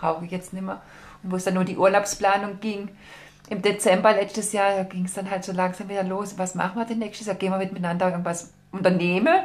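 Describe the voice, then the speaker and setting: A woman talks at a very fast pace and a medium pitch. Her intonation is monotone and flat. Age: 40s. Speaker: pilgrim. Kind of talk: casual interview.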